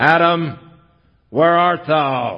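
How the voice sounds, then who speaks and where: A put-on character voice from a man, high-pitched, with fairly even intonation. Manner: stern, accusing.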